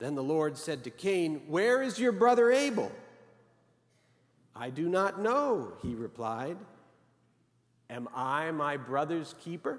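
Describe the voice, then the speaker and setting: Very slow delivery with long, frequent pauses and very wide pitch swings, set against a quiet background. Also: man. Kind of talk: sermon. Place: church. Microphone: podium.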